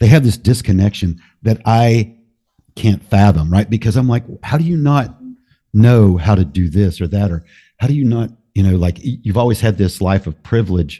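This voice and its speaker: Against a quiet background, a man speaks at a moderate pace with lively intonation, his fairly low voice somewhat breathy and dark and mellow in tone. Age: 50s. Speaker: podcaster. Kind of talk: casual conversation.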